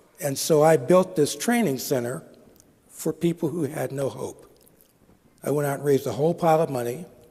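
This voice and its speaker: Speaking fairly quickly with long, frequent pauses, a man with an American accent has a fairly high pitch and a somewhat breathy, dark, mellow tone. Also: ordinary pitch variation. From Pittsburgh, Pennsylvania, US. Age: 60s. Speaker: social entrepreneur, speaker. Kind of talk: conference talk.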